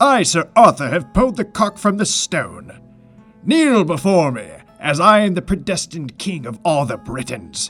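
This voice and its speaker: A put-on character voice comes through over faint music in the background. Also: man, high pitch for a man, moderate pace. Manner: theatrical, exaggerated, mocking.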